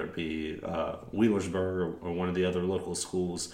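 Monotone, flat intonation at a moderate pace. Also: man. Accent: American. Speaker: podcast host. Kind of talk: interview questions.

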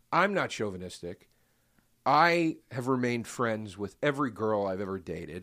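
An animated, bright, sharp tone with very wide pitch swings, a moderate pace and a very clean recording on a silent background. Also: man. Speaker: podcast guest. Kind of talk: casual chat.

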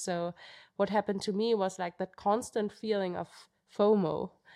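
Speaking with a German accent, a woman uses a medium pitch and a moderate pace with monotone, flat intonation. The sound is dry and close with no echo, in a very clean recording with a silent background. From Germany, Munich. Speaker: professional trail runner. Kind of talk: interview.

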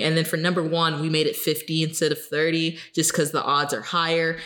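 A woman speaks at a fairly low pitch. Music is in the background. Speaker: podcast co-host. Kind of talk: casual chat.

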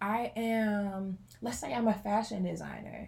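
A woman's very slow, somewhat breathy voice, dark and mellow in tone, with fairly even intonation. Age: 20s. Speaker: entrepreneur and college pastor. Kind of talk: casual chat.

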